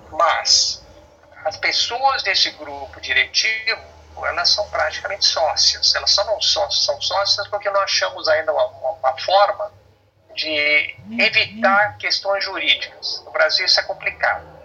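A man speaks at a fairly slow pace while noticeable background noise sits behind him. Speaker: engineer and family business owner. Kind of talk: interview.

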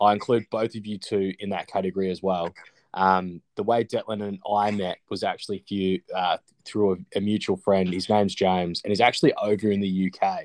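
Fairly low in pitch, a man with an Australian accent talks at a moderate pace in monotone, flat intonation, with a dry, close sound with no echo and a quiet background. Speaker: podcast host. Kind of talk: casual chat.

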